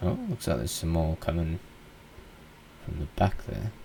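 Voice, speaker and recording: In an Australian accent, a man with a very deep, low pitch speaks in a relaxed tone at a moderate pace. His pitch varies in an ordinary way, and noticeable background noise is present. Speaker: gaming YouTuber. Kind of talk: gameplay commentary. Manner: casual, relaxed.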